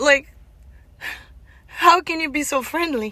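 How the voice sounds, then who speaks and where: This woman's raised, projected voice is high-pitched, bright and sharp, with ordinary pitch variation. She speaks at a fairly slow pace. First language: not English. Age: 40s. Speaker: vlogger. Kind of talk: personal testimony. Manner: halting.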